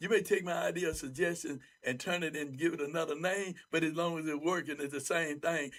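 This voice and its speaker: Here a man speaks in a high pitch. His pace is fairly quick. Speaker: bishop. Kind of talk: panel discussion. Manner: loud; animated.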